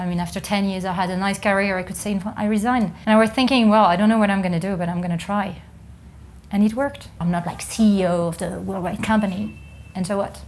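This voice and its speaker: At a very fast pace, a woman with a somewhat breathy, medium-pitched voice and fairly even intonation is heard with audible room echo. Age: 40s. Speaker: renewable energy country manager. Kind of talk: interview testimony.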